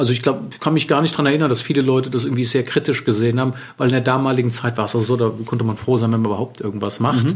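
A man's somewhat breathy voice at medium pitch, very fast pace with hardly any pauses, and fairly even intonation. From Germany, Wiesbaden. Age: 40s. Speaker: bespoke tailor. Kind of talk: interview. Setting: tailoring studio.

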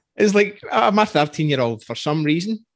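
A Scottish accent at a fairly quick pace over a quiet background. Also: man. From Scotland. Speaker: podcast host. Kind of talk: interview conversation.

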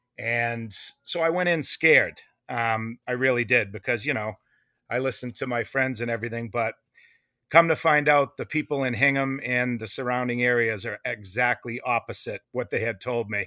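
A man talks at medium pitch and a moderate pace, with a bright, sharp tone. The recording is very clean, with a silent background and a dry, close sound free of echo. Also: ordinary pitch variation. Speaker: food truck owner. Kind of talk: casual interview. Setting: outdoors at food truck. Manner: loud.

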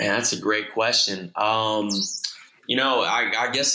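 A man with a Midwestern American accent, medium in pitch, at a fairly quick pace. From Michigan (Okemos, near Lansing). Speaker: sneaker industry creative. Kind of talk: casual interview chat.

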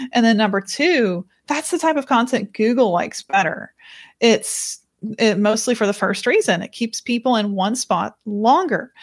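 A woman's fairly high voice at a moderate pace, an ordinary speaking voice, dry and close with no echo, in a very clean recording with a silent background. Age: 20s. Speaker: author and company CEO. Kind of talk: interview.

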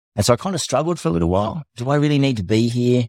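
At a very fast pace, a man talks with ordinary pitch variation in a dry, close sound with no echo. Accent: Australian. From Tasmania, Australia. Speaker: navy veteran and para-athlete. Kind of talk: casual interview.

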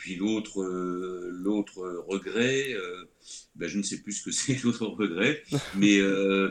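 A man's fairly low voice, with ordinary pitch variation, comes through a very clean recording with a silent background. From France. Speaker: screenwriter. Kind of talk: interview. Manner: halting.

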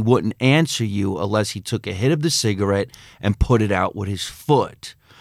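A man with an American accent speaks in an ordinary speaking voice at a fairly quick pace, on a very clean recording with a silent background. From New Jersey. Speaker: comedian and actor. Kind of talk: casual chat. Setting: studio.

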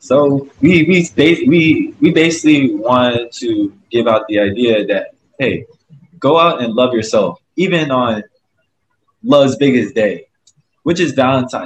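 With an American accent, a normal speaking voice moves at a fairly slow pace with big swings in loudness. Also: man, fairly high pitch for a man. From US South, Augusta, Georgia. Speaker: nonprofit group founder. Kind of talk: casual interview. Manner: repetitive, stumbling.

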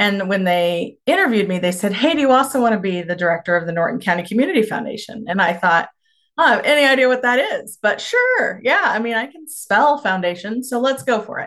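Speaking at a fairly high pitch with very wide pitch swings, a woman with a Kansas accent talks at a fairly quick pace with hardly any pauses. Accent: Midwestern American (Kansas). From rural northwest Kansas. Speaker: rural community development practitioner. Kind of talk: podcast interview.

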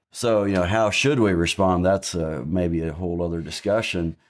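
A man with an American accent speaks at a fairly quick pace in a very deep, low pitch, with ordinary pitch variation. The recording is very clean and the background is silent. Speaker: Mennonite church member. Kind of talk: casual discussion.

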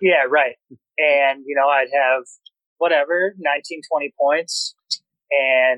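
Monotone, flat intonation from a man with a fairly high pitch, a bright, sharp tone, and an American accent. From Wisconsin, near Milwaukee. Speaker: professional basketball player. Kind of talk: casual interview.

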